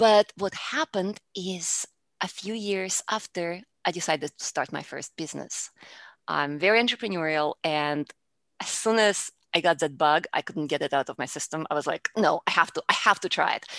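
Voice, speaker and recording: A woman with a Russian accent talks at a fairly low pitch with ordinary pitch variation. The recording is very clean, with a silent background. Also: moderate pace. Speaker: public speaking coach. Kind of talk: interview.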